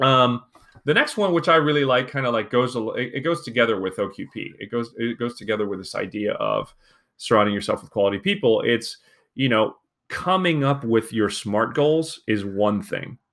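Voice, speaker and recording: Speaking at a moderate pace, a man uses a plain, everyday voice at medium pitch with lively intonation. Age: 40s. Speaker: podcast host. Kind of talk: solo podcast monologue. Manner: casual, with frequent fillers.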